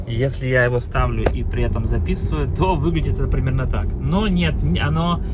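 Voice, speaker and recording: Through audible room echo and noticeable background noise, a man with a very deep, low pitch speaks at a moderate pace with hardly any pauses, very even loudness and very wide pitch swings. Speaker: car vlogger. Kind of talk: casual vlog. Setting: in a car. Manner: halting with many fillers.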